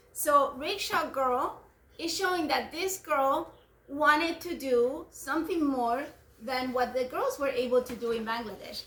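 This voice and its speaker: A woman speaks with a non-native accent at a fairly slow pace. Her pitch is high, with ordinary pitch variation. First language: not English. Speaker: homeschooling parent. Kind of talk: book discussion with children.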